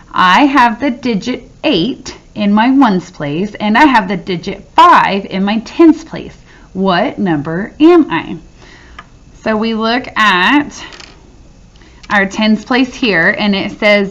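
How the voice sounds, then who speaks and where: A woman speaks very slowly with lively intonation over noticeable background noise. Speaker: teacher. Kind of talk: tutorial. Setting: recorded video lesson. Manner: animated.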